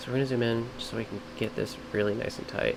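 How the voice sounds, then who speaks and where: A man at a very fast pace, fairly even in intonation, with noticeable background noise. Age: 30s. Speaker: streamer and video editor. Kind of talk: live editing tutorial stream. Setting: live stream. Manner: words blur together.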